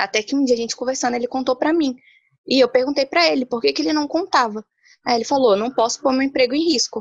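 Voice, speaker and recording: The words come very fast. Pitch varies in an ordinary way. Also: woman. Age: 20s. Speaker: entrepreneur. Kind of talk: casual panel discussion.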